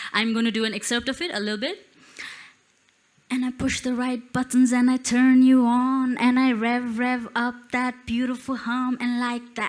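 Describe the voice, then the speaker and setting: A woman speaks at a moderate pace with a high pitch and a monotone, flat delivery. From Nepal. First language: Newa (Newari). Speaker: spoken word poet and musician. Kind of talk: stage presentation with performance.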